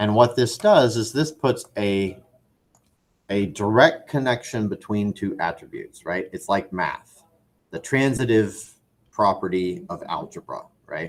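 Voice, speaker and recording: A man with an unremarkable speaking voice at a medium pitch, a fairly slow pace and ordinary pitch variation. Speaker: 3D animation instructor. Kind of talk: tutorial. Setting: classroom.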